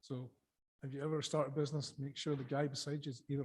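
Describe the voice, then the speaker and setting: A man with a southern Scottish accent speaks at a very fast pace. His voice is fairly high in pitch and somewhat breathy. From Scotland, Dumfries and Galloway. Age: 50s. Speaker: sea urchin fisherman and former chef. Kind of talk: conference talk. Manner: casual, with filler words.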